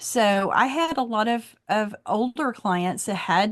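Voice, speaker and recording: A woman's pitch varies in an ordinary way, and the background stays quiet. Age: 60s. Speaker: wellness practitioner. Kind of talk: online class demonstration. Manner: casual.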